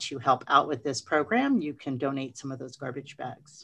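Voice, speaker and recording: The intonation stays fairly even as a woman talks. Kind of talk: meeting report. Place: office. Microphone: video call.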